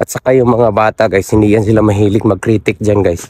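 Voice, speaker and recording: A man's dark, mellow, fairly low-pitched voice, monotone and flat in intonation, at a moderate pace with a dry, close sound and no echo. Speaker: assistant teacher. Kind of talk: casual vlog talk to camera.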